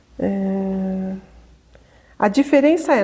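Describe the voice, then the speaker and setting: A woman with a dark, mellow tone and lively intonation is heard in a very clean recording with a silent background. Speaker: spiritist lecturer. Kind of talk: lecture.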